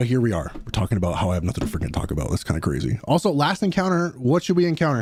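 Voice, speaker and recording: Over music in the background, a man at a medium pitch talks at a very fast pace with very wide pitch swings and hardly any pauses. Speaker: gaming streamer. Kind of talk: casual live stream chat. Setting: live stream.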